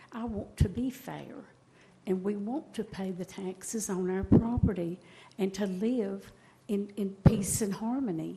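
A woman speaks at a fairly slow pace in a dark, mellow, somewhat breathy tone at a medium pitch. Her intonation is fairly even, though her loudness swings widely. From East Tennessee (Bristol). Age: 70s. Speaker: retired resident, public commenter. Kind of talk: public comment plea. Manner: halting, repeating words; pleading, emotional.

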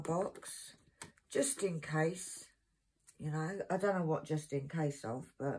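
A woman's somewhat breathy, fairly low-pitched voice with ordinary pitch variation. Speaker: craft seller. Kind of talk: casual vlog chat. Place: home room. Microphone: phone near.

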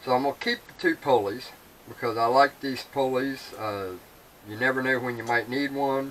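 Light background noise can be heard. A man talks with ordinary pitch variation. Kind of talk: casual vlog chat. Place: workshop. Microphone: camera far.

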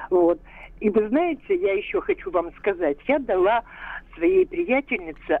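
Speaking at a very slow pace with long, frequent pauses, a woman's voice makes very wide pitch swings. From Russia, Kirov. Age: 70s. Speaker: retired biologist, caller. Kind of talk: listener testimony. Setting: phone call.

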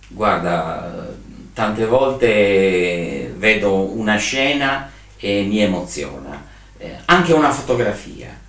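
Amid audible room echo, a man with a fairly low pitch talks at a very slow pace, making very wide pitch swings. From Sardinia, Alghero; Sardinia. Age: 60s. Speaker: trade fair and event organizer; interviewee. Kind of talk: interview. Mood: reflective, animated at times. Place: home room.

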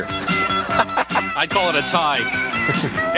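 There is loud music behind a man speaking, and the sound is dry with no echo. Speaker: radio DJ, morning show host. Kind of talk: radio morning show banter. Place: studio. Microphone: studio mic.

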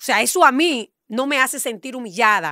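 In a high, bright and sharp voice, a woman speaks with lively intonation, the sound dry with no echo over a quiet background. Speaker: radio show panelist; radio panelist. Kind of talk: heated debate. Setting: radio studio, live on camera. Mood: indignant, defensive. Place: studio. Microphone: studio mic.

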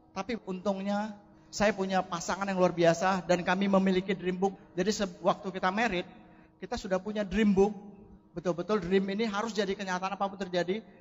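Pitched high, a man speaks fairly quickly in a monotone, flat delivery. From Indonesia, Medan (North Sumatra). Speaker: network marketing distributor. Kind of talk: motivational testimony on stage.

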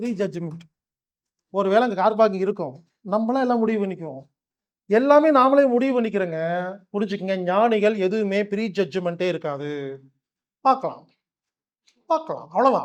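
Pitched high, a man talks in an animated tone with lively intonation. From Tamil Nadu, Coimbatore. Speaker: spiritual healer and motivational speaker. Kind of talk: motivational talk.

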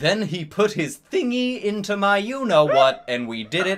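Someone is doing plain reading aloud.

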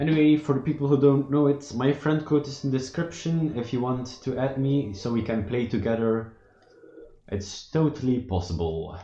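With a Dutch accent, a man speaks at a moderate pace and medium pitch, with ordinary pitch variation and noticeable background noise. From Belgium. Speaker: gaming streamer. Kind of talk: live gameplay commentary. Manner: animated; halting.

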